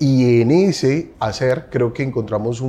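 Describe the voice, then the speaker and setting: The pitch varies in an ordinary way while noticeable noise runs in the background. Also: man. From Colombia. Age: 40s. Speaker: advertising agency CEO. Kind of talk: interview.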